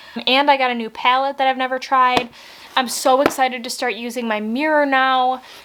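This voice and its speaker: With an American accent, a woman talks very fast at a high pitch over noticeable background noise. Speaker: beauty vlogger. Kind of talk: casual unboxing vlog. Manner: animated.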